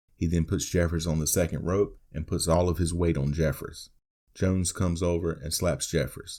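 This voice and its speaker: A man speaks at a moderate pace with a very deep, low pitch, a dark, mellow tone and vocal fry. The recording is very clean, with a silent background. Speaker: podcast host. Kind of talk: wrestling match recap narration.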